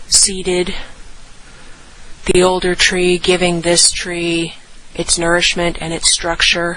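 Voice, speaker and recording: A soft-spoken woman at medium pitch, talking very slowly over noticeable background noise. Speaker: nature narrator on a hike. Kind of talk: impromptu outdoor monologue. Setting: outdoors in rainforest. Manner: quiet, reverent.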